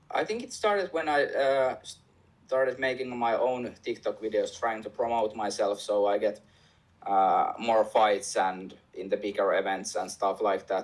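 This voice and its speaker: At a moderate pace, a man talks with a Finnish accent. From Finland. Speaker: MMA fighter and fight news reporter. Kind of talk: interview. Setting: remote call from home. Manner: halting, hesitant.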